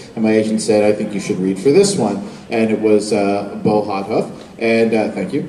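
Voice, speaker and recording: A man's fairly low voice at a moderate pace with fairly even intonation, amid noticeable background noise and audible room echo. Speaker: voice actor. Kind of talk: convention panel talk. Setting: stage with audience.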